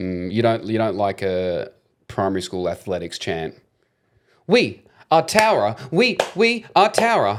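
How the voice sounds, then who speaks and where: On a very clean recording with a silent background, a man with an Australian accent talks in an animated tone at a fairly slow pace, with long, frequent pauses. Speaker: podcast co-host. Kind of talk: casual chat.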